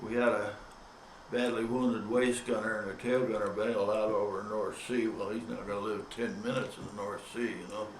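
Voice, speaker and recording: A man of medium pitch speaks at a fairly quick pace in a monotone, flat intonation, with audible room echo and noticeable background noise. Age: 90s. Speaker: war veteran. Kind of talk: testimony. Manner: halting.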